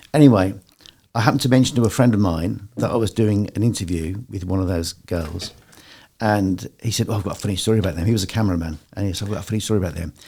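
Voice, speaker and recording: A man with a dark, mellow tone and fairly low pitch rushes along at a very fast pace, his pitch varying in an ordinary way. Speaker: radio presenter. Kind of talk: casual chat.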